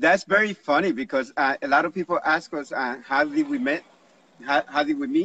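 A bright, sharp tone with very wide pitch swings comes through dry, with no echo. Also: man, high pitch for a man, moderate pace. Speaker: livestream host. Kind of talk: casual chat. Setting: live video stream. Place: garden.

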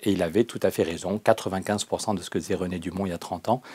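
A man's fairly low voice carries a dark, mellow tone. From southwest France (Périgueux); France. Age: 50s. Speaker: agronomist and political activist; interview guest. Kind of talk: interview. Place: studio. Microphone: lapel.

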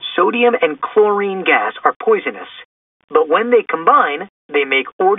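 The reading aloud is done in a natural voice. Nothing much is heard behind it.

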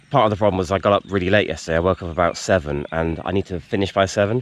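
Very fast and very deep, a man's voice comes through dry with no echo and fairly even intonation. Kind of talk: casual vlog chat. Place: stadium. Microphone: phone near.

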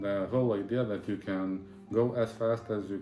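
With clear music in the background and audible room echo, a man speaks fairly slowly in a fairly low voice with ordinary pitch variation. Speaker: vlogger. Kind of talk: casual vlog chat. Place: home room. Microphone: phone near.

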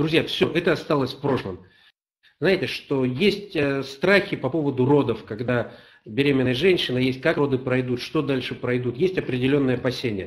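The background is quiet as a man speaks. He keeps a moderate pace with ordinary pitch variation. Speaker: company representative; webinar host. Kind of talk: live report. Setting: on location video link. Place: office. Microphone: webcam.

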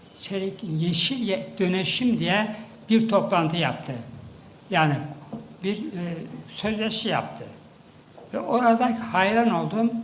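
A man talks at a very slow pace in a high pitch, with ordinary pitch variation and long, frequent pauses. Noticeable background noise sits behind him. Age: 80s+. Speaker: professor, former science agency head. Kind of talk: ceremonial speech.

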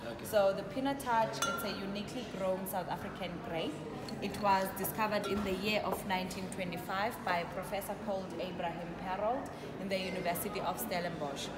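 Over loud background noise, a woman speaks at a moderate pace with ordinary pitch variation. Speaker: wine tasting host. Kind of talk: guided tasting explanation. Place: bar. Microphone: phone near.

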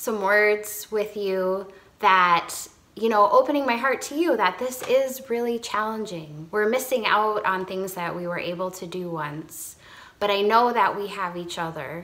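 A woman speaks at a fairly slow pace in a bright, sharp tone. Her pitch variation is ordinary, while her loudness swings widely. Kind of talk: devotional talk to congregation. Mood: warm, encouraging. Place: home room. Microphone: phone near.

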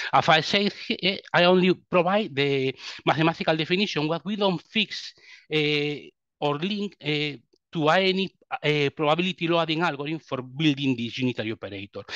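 The background is quiet and the sound is dry with no echo. A man with a Spanish accent speaks at a moderate pace. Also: ordinary pitch variation. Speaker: quantum computing researcher; webinar presenter. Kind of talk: technical presentation. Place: home room.

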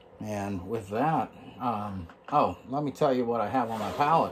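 Light background noise runs under this man's voice. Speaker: painting instructor. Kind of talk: tutorial. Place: home room. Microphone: phone near.

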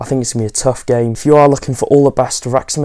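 In a flat, monotone delivery, a man speaks. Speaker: football fan vlogger. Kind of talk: casual vlog chat. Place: home room. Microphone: lapel.

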